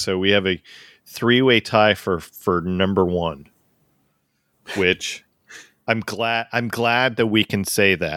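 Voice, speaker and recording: A man with an American accent speaks very slowly in a fairly low voice with fairly even intonation, the sound dry and close with no echo and the recording very clean over a silent background. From US East Coast. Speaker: music podcast host. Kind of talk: casual chat. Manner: halting, many fillers.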